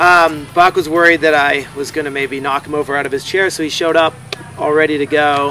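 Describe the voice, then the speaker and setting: Fairly quick, flat, monotone delivery from a man with a fairly high pitch, noticeable background noise behind him. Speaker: horse eventing rider and show co-host. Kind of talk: casual chat. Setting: at a horse show venue. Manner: loud.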